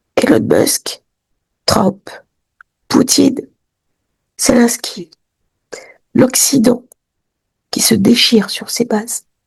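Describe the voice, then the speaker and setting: Very slowly, a woman talks, her pitch varying in an ordinary way. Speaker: astrologer. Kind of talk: weekly horoscope talk to camera.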